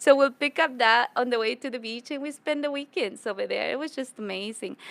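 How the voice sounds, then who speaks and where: Speaking in a Spanish accent at a fairly quick pace, a woman with a high pitch shows ordinary pitch variation and big swings in loudness. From Ecuador (Quito). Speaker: public speaker and community advocate. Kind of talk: podcast interview. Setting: business club venue.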